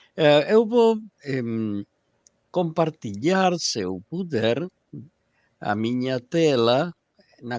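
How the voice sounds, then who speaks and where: A man with a Spanish accent, lively intonation, and a dry, close sound with no echo. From Argentina, Buenos Aires. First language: Spanish (speaking Portuguese). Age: 60s. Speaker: esperanto lecturer. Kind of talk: lecture. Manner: halting.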